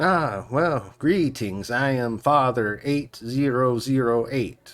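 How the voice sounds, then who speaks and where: Very slow, medium-pitched delivery from a man in a put-on character voice. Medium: actual play. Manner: polite, formal.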